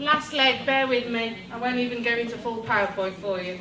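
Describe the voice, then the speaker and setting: A loud woman with a British accent, high-pitched with lively intonation, amid audible room echo and noticeable background noise. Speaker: education technology trainer. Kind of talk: workshop presentation. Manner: energetic.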